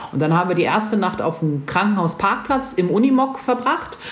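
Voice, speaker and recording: A woman of medium pitch speaks with very wide pitch swings, with noticeable background noise and audible room echo. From northern Germany. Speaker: motorcycle traveller. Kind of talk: casual chat. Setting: video livestream.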